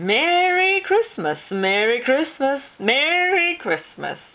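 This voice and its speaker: In a put-on character voice, a woman talks very slowly in a croaky, high pitch that swings very widely. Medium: read story.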